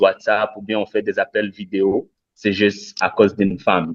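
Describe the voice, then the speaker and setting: A man with a non-native accent speaks at a fairly slow pace in a fairly low, flat monotone. The sound is dry and close with no echo, over a quiet background. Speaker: debate participant. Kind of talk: online panel discussion. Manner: halting, many hesitations.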